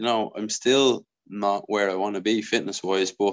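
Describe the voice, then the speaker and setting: A man with an Irish accent speaks in a fairly low voice against a quiet background. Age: 20s. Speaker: professional footballer. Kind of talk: interview.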